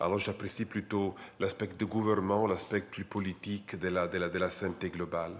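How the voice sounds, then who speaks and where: Speaking at a moderate pace with an Italian accent, a man keeps a monotone, flat intonation. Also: fairly low pitch for a man. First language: Italian (speaking French). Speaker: international lawyer, associate professor. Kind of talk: panel talk. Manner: halting.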